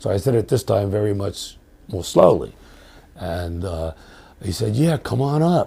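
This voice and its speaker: A man speaks in a fairly low, somewhat breathy voice with very wide pitch swings. He goes at a fairly slow pace, with long, frequent pauses. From New York. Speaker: professor. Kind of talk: interview storytelling. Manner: hesitant, many fillers and repetitions.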